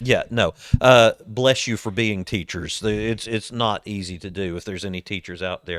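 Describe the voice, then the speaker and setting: A man uses a normal speaking voice at fairly low pitch with an American accent, at a moderate pace. The sound is dry and close with no echo, with big swings in loudness. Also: fairly even intonation. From Florida. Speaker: museum curator. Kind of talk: casual chat. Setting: museum.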